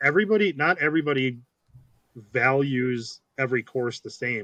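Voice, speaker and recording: A man's medium-pitched voice with a bright, sharp tone and a dry, close sound with no echo. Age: 40s. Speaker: disc golf course designer and state coordinator. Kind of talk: podcast interview. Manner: casual, with many fillers.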